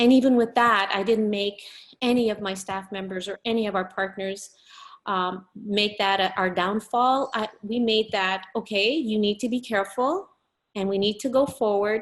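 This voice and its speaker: A woman speaks in a Quebec accent at a medium pitch. Her pace is moderate and her intonation fairly even. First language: French. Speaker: business owner. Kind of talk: interview.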